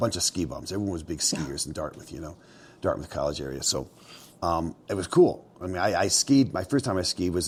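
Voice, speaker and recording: A man talks with a very deep, low pitch and vocal fry. His pace is fairly quick. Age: 60s. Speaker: mountain man and outfitter. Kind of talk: casual interview storytelling. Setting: indoors at his mountain cabin, fireplace going. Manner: conversational with many fillers and restarts.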